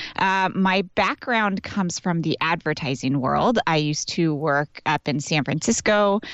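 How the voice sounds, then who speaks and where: Energetic in tone, a woman with a fairly low pitch speaks at a fairly slow pace with lively intonation, very even loudness and hardly any pauses. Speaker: business and life coach. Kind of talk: casual chat. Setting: in a closet at home.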